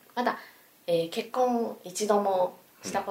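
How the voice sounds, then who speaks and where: Against noticeable background noise, a woman with a medium-pitched voice speaks with lively intonation. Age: 30s. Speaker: salesperson. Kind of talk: casual chat.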